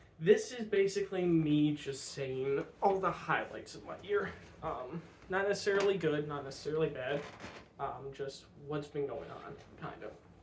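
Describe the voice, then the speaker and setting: Speaking with an American accent, a man talks at a moderate pace with a fairly high pitch, ordinary pitch variation and big swings in loudness, with audible room echo. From US Midwest. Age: 20s. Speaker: vlogger. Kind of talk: personal vlog monologue. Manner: halting, many fillers.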